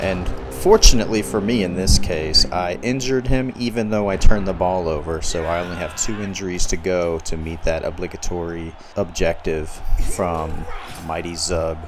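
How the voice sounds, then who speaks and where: Against noticeable background noise and audible room echo, a man with a very deep, low pitch talks at a moderate pace with ordinary pitch variation. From US South. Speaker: gaming YouTuber. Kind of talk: gameplay commentary. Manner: casual, conversational.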